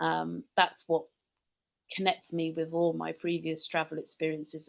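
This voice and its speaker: This woman speaks with a British accent. Her pace is moderate. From rural England, UK. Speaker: tour company founder. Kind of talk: podcast interview.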